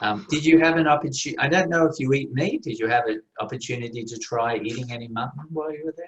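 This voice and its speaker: This man talks at a very fast pace in an Australian accent, his pitch medium. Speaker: contest interviewer at a Toastmasters meeting. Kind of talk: interview. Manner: formal.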